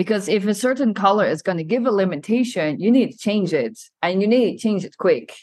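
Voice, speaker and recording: A woman with an unremarkable speaking voice talks at a fairly quick pace, with medium pitch and lively intonation. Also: big swings in loudness. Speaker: podcast host. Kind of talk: interview. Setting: podcasting from Milan.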